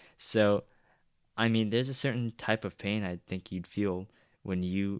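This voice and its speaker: In a dry, close sound with no echo, a man with a plain, everyday voice and a fairly low pitch speaks with fairly even intonation. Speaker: fantasy football podcast host. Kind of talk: casual chat.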